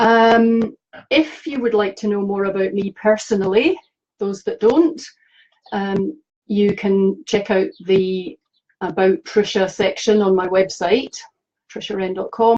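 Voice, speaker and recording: A woman with a Scottish accent speaks fairly slowly at a medium pitch. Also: ordinary pitch variation. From Scotland. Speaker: animal communicator. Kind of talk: live stream talk to viewers. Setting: live video stream. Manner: hesitant, many fillers.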